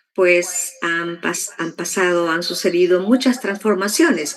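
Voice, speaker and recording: Noticeable background noise sits behind this woman's fairly low voice. She speaks at a fairly slow pace. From El Salvador, rural. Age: 60s. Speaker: interviewee sharing life story. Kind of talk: testimony interview.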